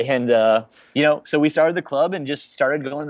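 In an American accent, a man with a normal speaking voice talks at a fairly quick pace with ordinary pitch variation. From Chicago, US Midwest. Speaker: pro paintball team captain. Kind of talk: casual interview chat.

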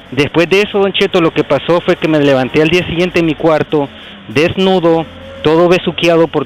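A man at a very fast pace, fairly high in pitch, with fairly even intonation, dry and close with no echo, music in the background. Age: 40s. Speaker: caller. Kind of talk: phone-in confession.

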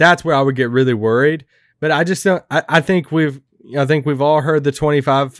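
This man has a plain, everyday voice, fairly high in pitch with fairly even intonation. The recording is very clean and the background silent. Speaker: co-host and writer. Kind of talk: casual sports podcast discussion. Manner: joking, playful.

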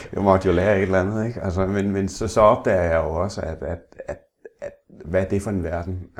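Very deep and low, a man's voice moves at a fairly quick pace in a flat monotone. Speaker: blind interviewee, former salesman. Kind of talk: interview. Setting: at home. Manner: halting, repeats words.

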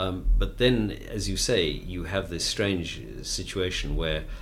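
There is audible room echo around this voice. A man talks with lively intonation. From South Africa, Cape Town. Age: 60s. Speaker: author and former journalist. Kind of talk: interview.

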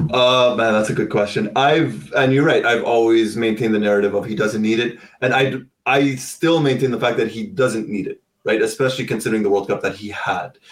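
Fairly quick delivery in a plain, everyday voice, its pitch varying in an ordinary way. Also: man, medium pitch for a man. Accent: Canadian. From Canada, Ottawa. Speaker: football content creator. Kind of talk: casual chat.

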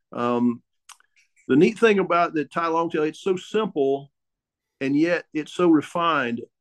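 A man's fairly high voice in an Ozark accent, with ordinary pitch variation and long, frequent pauses. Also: fairly slow pace, dry, close sound with no echo. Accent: Ozark Southern US. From US South, Ozark Mountains. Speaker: boat builder. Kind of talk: casual chat.

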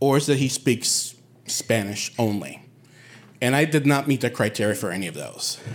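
Speaking at a moderate pace with an American accent, a man uses a medium pitch, ordinary pitch variation and vocal fry. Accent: sounds non-Puerto Rican, American. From Puerto Rico, Bayamón. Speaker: storyteller. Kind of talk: live storytelling.

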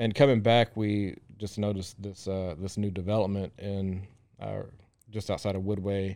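A man speaks in a Texan accent with a dark, mellow tone and fairly low pitch. His intonation is monotone and flat. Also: moderate pace. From Central Texas, small town near Waco. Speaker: restaurant owner. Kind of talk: interview. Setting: studio. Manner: hesitant, many fillers and repetitions.

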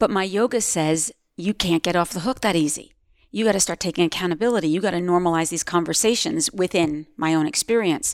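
An unremarkable speaking voice from a woman, fairly low in pitch with ordinary variation, at a fairly quick pace, in a very clean recording with a silent background and a dry, close sound with no echo. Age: 50s. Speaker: yoga teacher and activist. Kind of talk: interview conversation.

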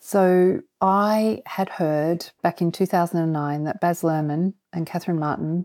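A woman with an Australian accent speaks at a fairly low pitch. Her tone is dark and mellow, her intonation fairly even. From Australia, Canberra. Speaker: theatre producer. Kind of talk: interview. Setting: remote call.

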